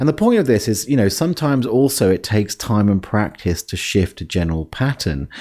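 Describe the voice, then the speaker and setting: A man's fairly low, dark, mellow voice with very wide pitch swings, fairly quick and with hardly any pauses. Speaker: life coach podcast host. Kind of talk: podcast monologue. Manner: halting, with fillers.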